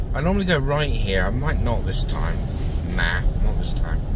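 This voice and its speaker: Against noticeable background noise, a man speaks at a moderate pace. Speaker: driver vlogger. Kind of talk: casual driving commentary. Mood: mildly annoyed, chatty. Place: car. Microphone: phone near.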